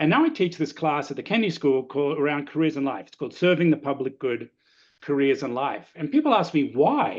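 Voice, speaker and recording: A fairly high-pitched man with an Australian accent and lively intonation, in a quiet background. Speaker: lecturer. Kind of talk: webinar talk. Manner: conversational.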